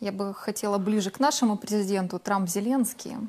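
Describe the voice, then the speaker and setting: A woman with a plain, everyday voice, medium in pitch, with fairly even intonation and a fairly quick pace. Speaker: TV host. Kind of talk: studio TV interview. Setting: TV studio. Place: studio. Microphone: lapel.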